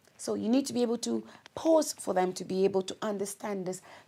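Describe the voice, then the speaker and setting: A woman with a Congolese accent speaks at a moderate pace. Her tone is dark and mellow, and her intonation is lively. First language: Lingala. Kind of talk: instructional talk.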